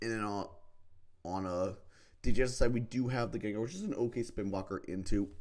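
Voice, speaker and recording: Speaking at a fairly low pitch, the man rushes along at a very fast pace. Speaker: streamer commentating competitive Pokemon draft games. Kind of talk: live game commentary. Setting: live stream. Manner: casual, hesitant with many fillers.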